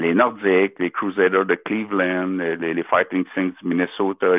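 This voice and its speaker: With a Quebec accent, a man speaks in a very deep, low pitch and a monotone, flat intonation. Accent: Québécois French-accented English. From Quebec, Beauce. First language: French. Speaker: caller. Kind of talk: casual chat. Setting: phone call. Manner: halting.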